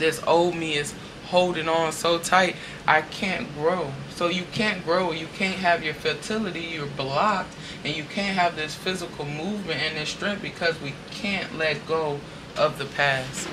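Noticeable background noise runs under a woman's fairly low voice. She speaks at a fairly slow pace with fairly even intonation. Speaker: tarot reader. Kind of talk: tarot reading monologue. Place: home room.

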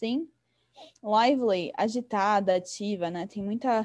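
In a São Paulo accent, a woman speaks at a very slow pace and fairly high pitch. Her pitch varies in an ordinary way against a quiet background. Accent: Paulistano Brazilian Portuguese. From São Paulo, Brazil. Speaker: English teacher. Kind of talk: online lesson. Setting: video call. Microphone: video call.

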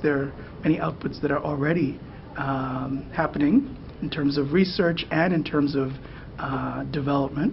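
An American accent at a moderate pace, with noticeable background noise. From US, Boston. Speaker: postdoctoral scientist. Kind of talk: interview explanation. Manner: hesitant, many fillers.

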